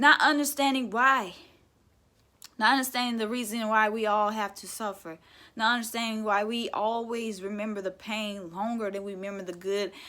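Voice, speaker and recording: The tone is bright and sharp, with fairly even intonation. Loudness swings widely. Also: woman, fairly high pitch for a woman, moderate pace. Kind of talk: motivational spoken word talk to camera.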